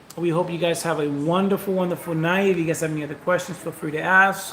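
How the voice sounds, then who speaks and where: A man talks with a high pitch and fairly even intonation. Noticeable background noise is present. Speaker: vlogger. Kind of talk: casual chat. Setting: livestream. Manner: fast.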